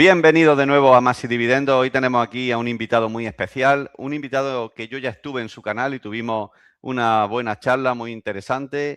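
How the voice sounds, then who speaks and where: On a very clean recording with a silent background and a dry, close sound with no echo, a man with a Spanish accent talks with fairly even intonation and hardly any pauses. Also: medium pitch for a man, fairly quick pace, big swings in loudness. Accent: Spanish (Spain). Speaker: investing youtuber, host. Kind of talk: casual interview.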